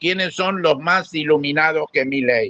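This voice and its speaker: Speaking at a fairly slow pace, a man uses an unremarkable speaking voice with a fairly high pitch and lively intonation. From Argentina. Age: 60s. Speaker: panelist. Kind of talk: panel discussion.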